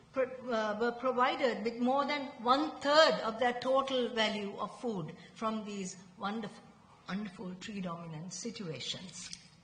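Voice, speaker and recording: In a room with audible echo and noticeable background noise, a woman talks at a fairly slow pace in a high pitch with very wide pitch swings. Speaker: researcher presenting at a conference. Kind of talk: conference presentation.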